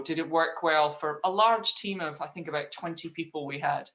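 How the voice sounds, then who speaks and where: In a Scottish accent, a woman talks at a moderate pace with a fairly low pitch. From Scotland. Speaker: leadership trainer working with horses. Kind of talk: interview.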